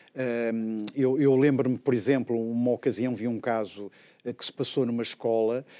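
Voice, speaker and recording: In a dry, close recording with no echo and a quiet background, a man speaks at a moderate pace and medium pitch, his tone dark and mellow and his intonation monotone and flat. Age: 60s. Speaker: education expert. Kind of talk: interview. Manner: halting.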